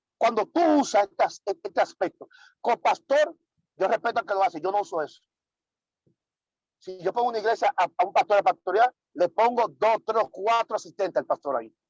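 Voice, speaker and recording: Long, frequent pauses over music in the background. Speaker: pastor teaching church leaders. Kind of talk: online leadership workshop lecture. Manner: fast.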